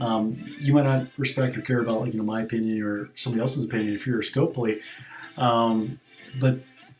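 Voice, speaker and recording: Over noticeable background noise, a man talks at a very fast pace and medium pitch with fairly even intonation. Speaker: gaming streamer. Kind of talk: casual gaming stream commentary. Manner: hesitant, many fillers.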